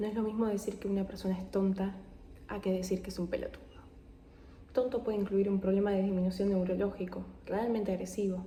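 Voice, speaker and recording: A soft-spoken woman at a very fast pace, monotone and flat in intonation, with long, frequent pauses. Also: medium pitch for a woman. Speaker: ASMR creator. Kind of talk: reading aloud.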